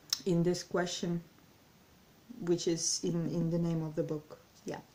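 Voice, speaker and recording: In a Russian accent, a woman delivers her words at a fairly slow pace with fairly low pitch and monotone, flat intonation. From Ukraine, Kyiv. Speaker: language learning vlogger. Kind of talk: casual vlog monologue. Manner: halting, many fillers and self-corrections.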